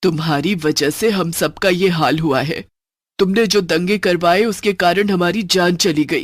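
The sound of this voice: A man does a cartoonish character voice with a high pitch. He talks at a moderate pace on a very clean recording with a silent background.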